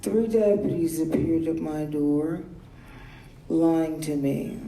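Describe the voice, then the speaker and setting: Against noticeable background noise and audible room echo, a woman speaks with a very deep, low pitch and ordinary pitch variation. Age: 60s. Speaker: public commenter. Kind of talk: public comment at meeting.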